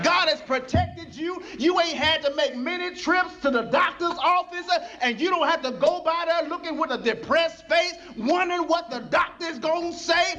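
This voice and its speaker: The speaker uses a raised, projected voice and an animated tone, moving at a moderate pace with ordinary pitch variation. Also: man, extremely high pitch for a man. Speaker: pastor. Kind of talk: sermon. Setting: church with a live congregation. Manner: animated, call-and-response preaching with rising intensity; conversational, colloquial, pausing for congregation replies.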